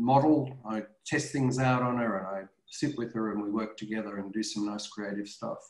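A man talks at a moderate pace with ordinary pitch variation. Room echo is audible against a quiet background. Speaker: professor presenting a webinar. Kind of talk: webinar talk to parents. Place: home room. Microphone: webcam.

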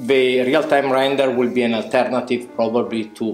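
Faint music and audible room echo fill the background. A man with an Italian accent speaks at a moderate pace. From Italy. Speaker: visual effects department head. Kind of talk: interview answer. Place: home room.

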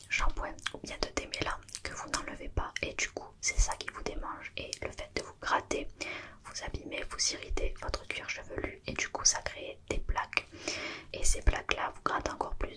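A woman whispers in a gentle tone, her loudness swinging widely. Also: fairly slow pace. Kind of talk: ASMR roleplay check-up talk. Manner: soft-spoken, gentle ASMR doctor voice.

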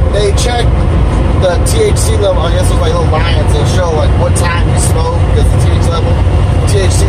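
Speech moves at a fairly slow pace beneath loud background noise. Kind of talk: casual vlog chat. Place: car. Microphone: camera far.

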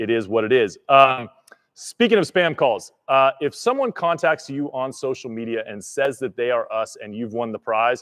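This man speaks at a moderate pace with ordinary pitch variation. His loudness swings widely, and the background is quiet. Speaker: livestream host. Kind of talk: live stream announcement. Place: garage. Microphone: studio mic.

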